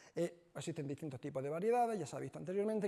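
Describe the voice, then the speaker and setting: A man talks with lively intonation and a dark, mellow tone. His pitch is high, with an Andalusian accent. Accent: Andalusian (Almería). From Spain, Almería (Andalusia). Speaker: chemist, researcher. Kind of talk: lecture. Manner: hesitant, frequent fillers.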